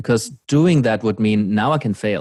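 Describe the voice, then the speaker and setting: Speech comes at a fairly quick pace. Nothing is heard in the background of this very clean recording. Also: man. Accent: German. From Germany. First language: German. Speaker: podcast host, coach. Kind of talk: casual chat.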